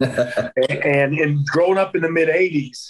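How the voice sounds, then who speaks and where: A man with a Southern US accent. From US South, North Carolina. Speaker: professional wrestler. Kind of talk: casual interview chat.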